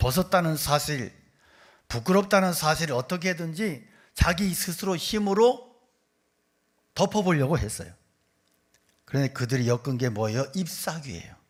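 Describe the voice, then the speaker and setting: On a very clean recording with a silent background, a man speaks at a moderate pace in a fairly high voice with lively intonation and long, frequent pauses. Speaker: pastor. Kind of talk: sermon. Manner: animated.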